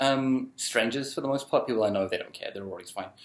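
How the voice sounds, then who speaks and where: With ordinary pitch variation and a medium pitch, a man talks on a very clean recording with a silent background. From UK. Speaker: vlogger. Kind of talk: casual vlog, answering viewer questions. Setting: recording alone with photo booth camera. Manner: quiet; hesitant, many ums.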